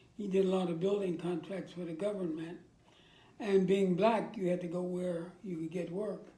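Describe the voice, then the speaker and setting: Speaking in an American accent at a moderate pace, a man with a high pitch and a dark, mellow tone holds a monotone, flat intonation as room echo is audible. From Virginia, US South. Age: 80s+. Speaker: war veteran. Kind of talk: interview.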